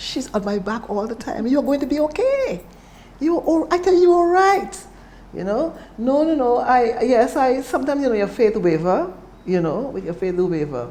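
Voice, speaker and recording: Over noticeable background noise and audible room echo, the voice moves at a moderate pace with very wide pitch swings. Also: woman, high pitch for a woman. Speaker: cancer survivor. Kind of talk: testimony.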